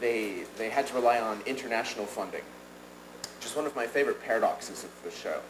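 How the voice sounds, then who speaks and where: Audible room echo colors a man's speech. His pitch varies in an ordinary way. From United States. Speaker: professor, audience questioner. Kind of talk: audience question at conference. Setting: conference with audience. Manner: halting, many fillers.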